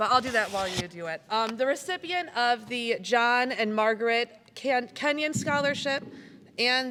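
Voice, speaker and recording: A woman with an American accent speaks at a moderate pace, her pitch fairly high. Her tone is bright and sharp, with ordinary pitch variation. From US Midwest, Michigan. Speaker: community foundation director. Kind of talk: award ceremony speech. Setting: school gymnasium with audience, PA system. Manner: loud.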